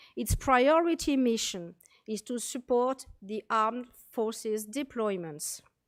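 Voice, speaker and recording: A woman with a French accent speaks at a fairly slow pace and a fairly high pitch. Her intonation is lively, and the recording is very clean with a silent background. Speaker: military medical officer. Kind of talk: conference presentation.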